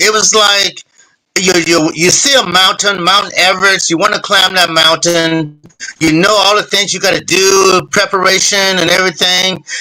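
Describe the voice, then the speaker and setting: A man with a high voice speaks in a raised, projected way at a moderate pace. His loudness stays very even, and his pitch varies in an ordinary way. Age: 60s. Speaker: retired boxer, Olympic champion. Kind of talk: interview.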